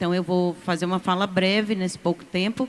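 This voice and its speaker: A woman with a plain, everyday voice, medium pitch and moderate pace. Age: 60s. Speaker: university professor and union representative. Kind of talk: conference panel speech.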